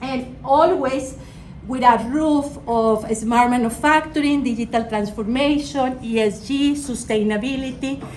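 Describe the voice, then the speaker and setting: A woman with a high-pitched voice speaks at a fairly slow pace, with noticeable background noise and audible room echo. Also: ordinary pitch variation. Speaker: business executive. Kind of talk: guest lecture. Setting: classroom with students.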